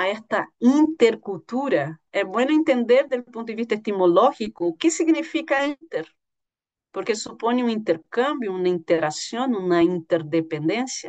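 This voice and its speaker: The voice moves at a moderate pace with very wide pitch swings, in a dry, close sound with no echo. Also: woman, fairly high pitch for a woman. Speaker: university lecturer. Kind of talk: lecture. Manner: halting.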